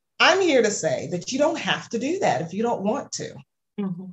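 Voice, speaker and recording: Somewhat breathy, a woman with an American accent speaks with very wide pitch swings. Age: 40s. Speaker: music marketing coach. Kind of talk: casual interview chat. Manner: hesitant, many fillers.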